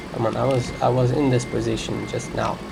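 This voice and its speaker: Over noticeable background noise and audible room echo, a man with a non-native accent speaks at a moderate pace. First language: not English. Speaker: gaming youtuber. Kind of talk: gameplay commentary. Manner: unscripted, rambling.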